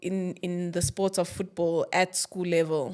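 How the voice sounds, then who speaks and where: A woman's medium-pitched voice holds a monotone, flat intonation. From South Africa, born in Angola. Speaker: footballer and football administrator. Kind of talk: podcast interview.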